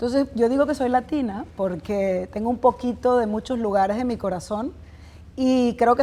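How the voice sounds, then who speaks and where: This woman speaks at a moderate pace in a fairly high pitch, with ordinary pitch variation. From Venezuela. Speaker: business executive and entrepreneur. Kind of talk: interview. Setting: business event.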